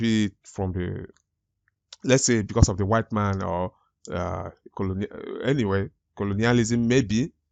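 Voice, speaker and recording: A man with an African accent at a fairly low pitch, moderate in pace, with ordinary pitch variation and long, frequent pauses. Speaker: YouTube commentator. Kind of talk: reaction commentary. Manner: halting, with false starts.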